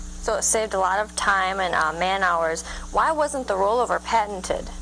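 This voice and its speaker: Music plays in the background. A woman speaks at medium pitch and a moderate pace, with ordinary pitch variation and very even loudness. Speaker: local TV interviewer. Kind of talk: TV interview host.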